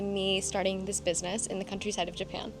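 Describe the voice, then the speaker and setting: Music plays in the background as a woman with an American accent talks at a very fast pace. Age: 20s. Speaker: vlogger and small business owner. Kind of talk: casual vlog talk to camera.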